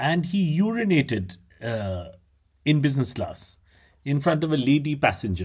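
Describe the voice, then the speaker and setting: With an Indian accent and a somewhat breathy, fairly high voice, a man moves at a moderate pace, swinging his pitch very widely and pausing long and often. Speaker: podcast host. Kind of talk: casual comedic chat. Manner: animated, laughing.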